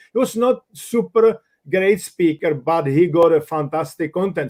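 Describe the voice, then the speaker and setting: A man with a Czech accent speaks at a high pitch with ordinary pitch variation, in a dry, close sound with no echo. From Czech Republic. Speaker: business coach and author. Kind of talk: live stream discussion. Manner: animated.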